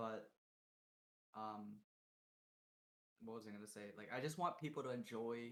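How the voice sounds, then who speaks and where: At a moderate pace, a man talks with a fairly low pitch. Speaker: twitch streamer. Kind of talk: casual podcast chat. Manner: monotone; mellow, chill.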